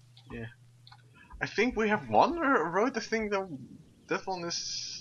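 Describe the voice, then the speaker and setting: A man speaks with a Dutch accent. His intonation is lively. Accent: very Dutch. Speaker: gaming streamer. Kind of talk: casual chat. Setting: live stream.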